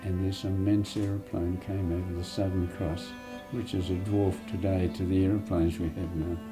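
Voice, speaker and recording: A man's very deep, low voice with an Australian accent, moderate pace and fairly even intonation, plus audible room echo and music in the background. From Sydney, Australia. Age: 90s. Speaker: war veteran. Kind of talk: interview.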